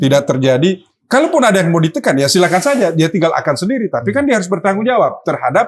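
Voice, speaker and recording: With a Sulawesi accent, a man talks at a very fast pace and a high pitch, his pitch swinging very widely while his loudness stays very even and he hardly pauses. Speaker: political party official. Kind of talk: casual chat.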